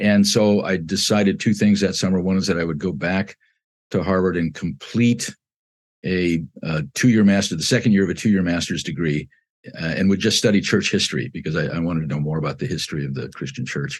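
Deep and low, a man's voice carries an American accent and vocal fry. He talks at a fairly quick pace with ordinary pitch variation. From Southern California. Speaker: architecture professor. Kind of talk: interview. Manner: halting.

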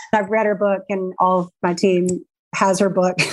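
A normal speaking voice talks at a moderate pace with fairly even intonation. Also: woman. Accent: American. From Charlotte, North Carolina. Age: 50s. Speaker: clothing store owner. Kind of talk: interview.

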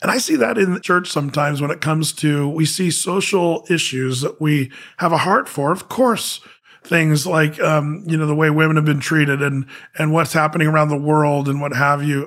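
In a very clean recording with a silent background, a man with an American accent uses an ordinary speaking voice, fairly high in pitch, at a moderate pace with ordinary pitch variation. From US, southern Oregon. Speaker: pastor. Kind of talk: casual interview conversation.

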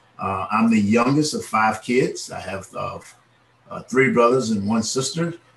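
Speaking fairly slowly in an American accent, a man's loudness swings widely over noticeable background noise. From Miami, Florida. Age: 50s. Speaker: evangelist. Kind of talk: interview.

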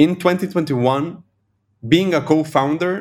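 A man talks with an Argentine accent. The recording is very clean, with a silent background. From Argentina, Buenos Aires. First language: Spanish. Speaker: venture capital investor. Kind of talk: interview conversation.

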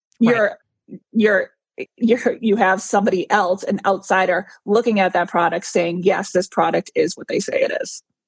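A plain, everyday voice at a moderate pace, fairly even in intonation, with a dry, close sound and no echo. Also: woman, medium pitch for a woman. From Boston. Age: 40s. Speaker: clean beauty blogger. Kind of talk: interview.

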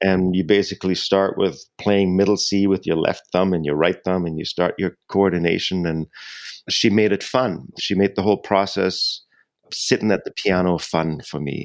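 A man's very deep, low voice with a German accent, ordinary pitch variation and a moderate pace. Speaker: jazz pianist and singer-songwriter. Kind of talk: interview.

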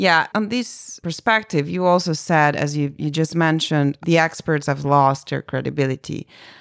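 A woman with an Italian accent talks at a moderate pace with hardly any pauses, her very deep, low pitch showing ordinary variation, in a dry, close sound with no echo. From Italy. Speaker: podcast host and academic program director. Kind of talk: interview.

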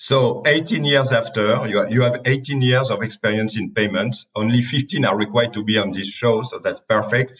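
With hardly any pauses, a man speaks at a moderate pace and medium pitch with ordinary pitch variation. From France. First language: French. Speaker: podcast host, company CEO. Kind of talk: interview.

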